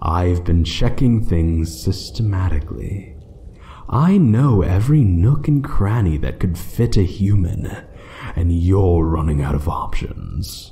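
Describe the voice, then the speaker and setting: In a put-on character voice, a man talks at a fairly slow pace with a very deep, low pitch over light background noise. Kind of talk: audio roleplay. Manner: slow, menacing, taunting.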